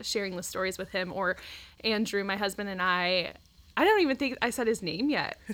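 Delivered at a fairly quick pace with ordinary pitch variation, this is a plain, everyday voice with an American accent. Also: woman. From Ohio, Dayton area. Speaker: stay-at-home mom, ministry team member. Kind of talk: casual interview chat. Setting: studio.

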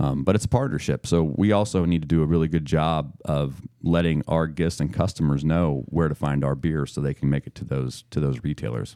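The voice has a dark, mellow tone and an American accent, with ordinary pitch variation. It moves at a fairly quick pace with hardly any pauses. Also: man, very deep, low pitch for a man. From Missouri, US. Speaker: brewery owner. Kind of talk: casual interview chat.

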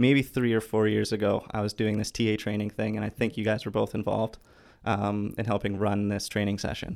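A man with a Canadian accent speaks at a fairly low pitch in an ordinary speaking voice. The recording is very clean, with a silent background. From Vancouver, Canada. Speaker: neuroscience PhD student. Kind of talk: casual interview. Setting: studio.

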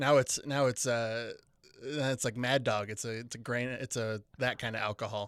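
Speaking in an American accent, a man keeps a moderate pace and a monotone, flat intonation. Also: medium pitch for a man, very clean recording, silent background. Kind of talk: casual comedic banter between friends.

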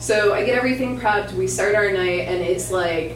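A woman with an American accent, with noticeable background noise and audible room echo. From Michigan. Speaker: podcaster. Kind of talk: storytelling performance. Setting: stage with audience.

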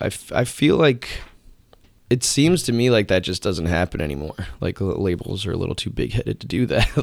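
Fairly quick and fairly low-pitched, a man talks with vocal fry and very wide pitch swings. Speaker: musician. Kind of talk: casual interview. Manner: halting, many fillers.

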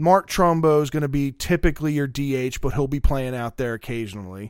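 A man with an American accent has an unremarkable speaking voice of medium pitch. He talks at a moderate pace on a very clean recording with a silent background. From Maryland, Middle River near Baltimore. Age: 30s. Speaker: sports podcast co-host. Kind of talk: casual chat.

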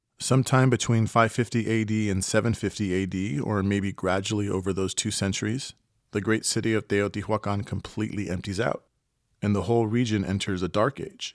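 With an unremarkable speaking voice, a man talks at a fairly quick pace, fairly low in pitch and fairly even in intonation, on a very clean recording with a silent background. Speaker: podcast host and narrator. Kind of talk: scripted narration of a history podcast. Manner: formal, explanatory.

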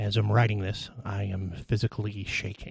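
His voice is fairly low and shaky as a man speaks at a moderate pace. The background is quiet. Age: 30s. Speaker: podcast guest host sharing mental illness story. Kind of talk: reading a personal essay aloud. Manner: loud.

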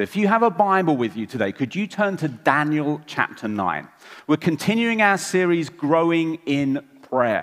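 A man with an English accent, fairly high pitch, very wide pitch swings and a moderate pace. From England. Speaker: preacher. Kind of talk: sermon.

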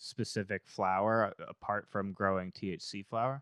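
The sound is dry and close with no echo. A man with an American accent talks in a monotone, flat intonation. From Massachusetts. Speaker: podcast host. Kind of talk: casual chat. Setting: studio.

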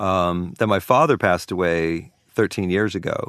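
Against a quiet background, a man with an American accent speaks in a very deep, low voice with ordinary pitch variation. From New Orleans and Virginia. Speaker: record producer and sound engineer. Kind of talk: casual chat.

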